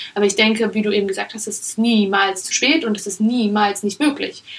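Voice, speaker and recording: This woman has a normal speaking voice, pitched fairly high. She talks at a moderate pace. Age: 20s. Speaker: startup founder. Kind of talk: interview.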